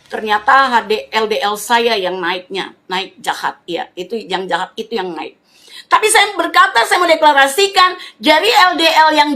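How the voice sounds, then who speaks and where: A woman speaks fairly slowly in a raised, projected voice with a bright, sharp tone. She sounds animated, and her pitch swings very widely. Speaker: preacher. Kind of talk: sermon.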